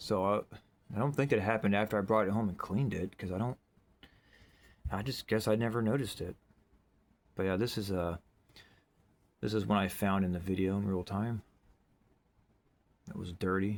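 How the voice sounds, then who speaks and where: A man's fairly low voice at a fairly quick pace, with ordinary pitch variation and long, frequent pauses. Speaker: bottle digging video creator. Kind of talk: casual show-and-tell narration. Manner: fast; rambling, filler-heavy.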